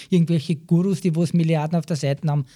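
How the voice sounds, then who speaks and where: A man with a dark, mellow tone and a fairly high pitch, talking at a very fast pace. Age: 40s. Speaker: care worker. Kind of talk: interview.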